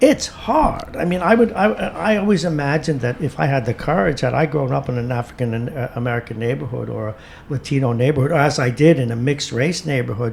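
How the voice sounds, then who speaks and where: Over noticeable background noise, a man at medium pitch talks at a very fast pace with lively intonation. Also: hardly any pauses. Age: 60s. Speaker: radio host. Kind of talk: casual chat. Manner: animated.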